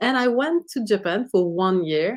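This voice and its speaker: With a Quebec accent and lively intonation, the speaker keeps a moderate pace against a quiet background. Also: woman. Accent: Québécois French accent in English. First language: French. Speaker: sociologist. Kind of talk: lecture. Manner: halting.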